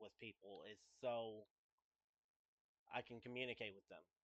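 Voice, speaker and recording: A quiet male voice with fairly even intonation. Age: 20s. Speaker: gaming streamer. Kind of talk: personal monologue. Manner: halting.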